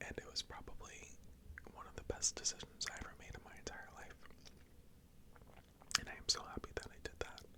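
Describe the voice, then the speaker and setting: Whispering at a fairly quick pace, a woman leaves long, frequent pauses, her loudness swinging widely over noticeable background noise. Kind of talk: ASMR life update rambling. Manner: whispered, soft-spoken.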